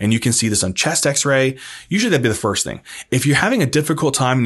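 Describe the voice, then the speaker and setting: Talking at a very fast pace, a man shows ordinary pitch variation over a quiet background. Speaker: medical educator. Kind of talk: lecture. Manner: casual.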